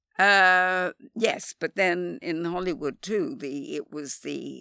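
Speaking very slowly, a woman has a fairly low pitch and a bright, sharp tone. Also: hardly any pauses, dry, close sound with no echo. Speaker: film continuity supervisor. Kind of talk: casual interview.

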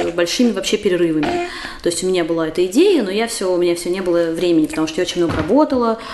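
Over noticeable background noise, a woman with a medium pitch talks at a very fast pace with lively intonation. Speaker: writer and poet. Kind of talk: casual chat. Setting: recorded at the host's home.

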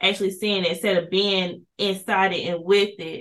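Someone with a normal speaking voice talks at a moderate pace in an American accent. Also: woman. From Kinston, eastern North Carolina. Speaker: police officer, school resource officer. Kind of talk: interview conversation.

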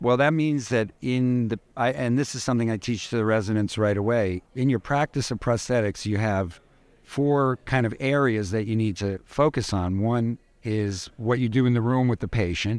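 An ordinary speaking voice with an American accent moves at a moderate pace, with ordinary pitch variation. The recording is very clean, with a silent background. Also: man, medium pitch for a man. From New York City. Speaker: prosthetist. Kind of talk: conversational interview. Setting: live recording at a conference.

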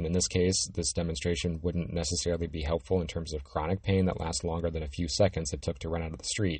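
Somewhat breathy and very deep and low in pitch, a man talks at a fairly quick pace. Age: 50s. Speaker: physical therapist podcaster. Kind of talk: educational monologue.

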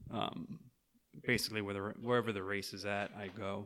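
A man with an American accent has an unremarkable speaking voice and a fairly low pitch. He speaks at a fairly quick pace with fairly even intonation, in a very clean recording with a silent background. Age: 30s. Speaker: martial arts instructor. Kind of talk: casual chat.

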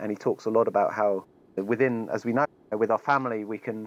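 A man with an English accent speaks at a medium pitch and a moderate pace. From England. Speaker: editor and activist. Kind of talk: interview conversation.

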